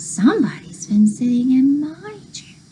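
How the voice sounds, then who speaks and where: A woman performs a put-on character voice at a medium pitch and a moderate pace. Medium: read story.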